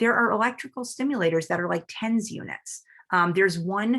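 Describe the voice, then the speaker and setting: Here a woman is talking. The pitch variation is ordinary. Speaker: neurologist. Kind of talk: lecture. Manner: fast; animated.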